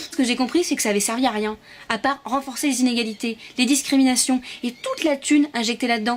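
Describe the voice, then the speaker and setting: Noticeable background noise sits behind this woman's high-pitched voice. She talks at a very fast pace. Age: 20s. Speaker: activist giving a performed lecture. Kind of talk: pitch presenting her talk. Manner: animated.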